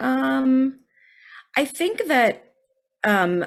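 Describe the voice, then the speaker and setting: With music in the background, a woman in an American accent speaks with very wide pitch swings. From United States, Indian American family. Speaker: narrative comedian and storyteller. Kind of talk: interview. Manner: animated.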